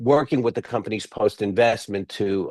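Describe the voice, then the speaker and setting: Someone with an East Coast US accent speaks at a moderate pace with ordinary pitch variation, in a dry, close sound with no echo. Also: man. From US East Coast. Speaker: physician and venture fund founder. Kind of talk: webinar presentation. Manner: halting, many fillers.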